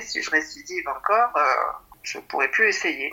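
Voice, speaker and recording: A woman talking at a fairly slow pace amid noticeable background noise. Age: 60s. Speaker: doctor and amateur pole dancer. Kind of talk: interview testimony.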